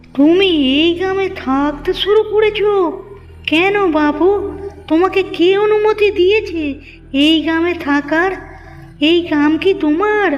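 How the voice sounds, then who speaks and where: Extremely high in pitch, the woman's cartoonish character voice moves at a fairly slow pace with ordinary pitch variation and very even loudness. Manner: sneering, scolding.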